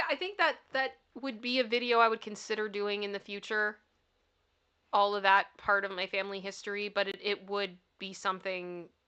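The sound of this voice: A woman speaks at a moderate pace with a bright, sharp tone, medium pitch, fairly even intonation and a strong Toronto accent against a quiet background. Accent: thick Toronto accent that drops some letters.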